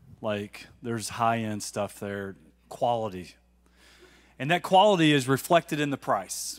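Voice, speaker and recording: A man speaks in a relaxed tone at a fairly slow pace. His intonation is lively, and the background is quiet. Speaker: congregation member giving a testimony. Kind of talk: testimony, casual storytelling. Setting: church. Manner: relaxed, humorous. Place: church. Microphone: handheld.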